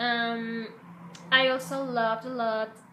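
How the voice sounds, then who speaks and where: A woman with a fairly high pitch, audible room echo and noticeable background noise. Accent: Spanish. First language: Spanish. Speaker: fan vlogger. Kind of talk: casual fan commentary. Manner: halting, some stumbles.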